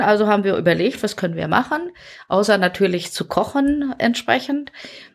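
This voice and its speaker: An unremarkable speaking voice from a woman of medium pitch, lively in intonation at a moderate pace, on a very clean recording with a silent background. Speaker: nurse and medieval reenactor. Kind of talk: casual chat.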